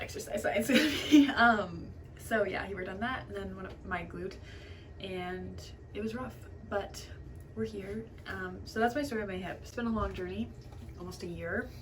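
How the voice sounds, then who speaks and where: A woman speaks with long, frequent pauses and big swings in loudness. Audible room echo and noticeable background noise fill the recording. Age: 20s. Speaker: beauty vlogger. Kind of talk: chatty get ready with me. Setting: bathroom at home. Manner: fast; casual, filler-heavy.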